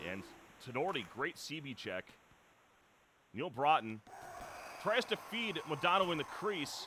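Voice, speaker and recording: Loud and fairly high-pitched, a man swings his pitch very widely, speaking fairly slowly with long, frequent pauses amid noticeable background noise. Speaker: esports play-by-play commentator. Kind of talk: live commentary.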